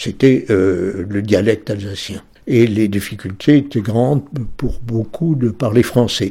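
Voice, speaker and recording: A man speaks at a fairly low pitch with a dark, mellow tone. His pace is very slow. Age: 80s+. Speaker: retired historian. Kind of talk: interview.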